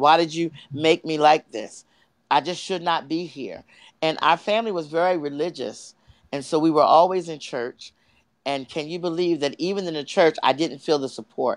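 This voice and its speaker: A man with an American accent and a normal speaking voice talks at a moderate pace. His pitch is fairly high with ordinary variation, and the background is quiet. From US East Coast, Delaware. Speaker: life coach and speaker. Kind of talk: interview testimony.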